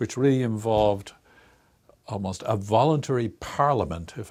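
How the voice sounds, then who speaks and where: A man with an Irish accent and a fairly low pitch, ordinary pitch variation and a moderate pace, in a very clean recording with a silent background. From Ireland, Dublin. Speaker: research institute director, psychologist. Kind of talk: interview.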